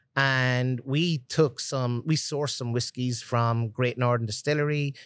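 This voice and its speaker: With a Cork accent, a man talks at a medium pitch using fairly even intonation. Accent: Cork Irish. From Ireland, Cork City. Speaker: master distiller. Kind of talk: casual interview. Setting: distillery tasting room.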